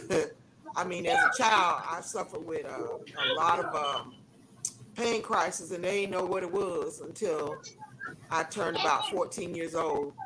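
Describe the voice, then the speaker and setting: Against noticeable background noise and audible room echo, a woman talks at a moderate pace with long, frequent pauses. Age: 60s. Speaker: sickle cell outreach coordinator. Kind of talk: casual chat. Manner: halting.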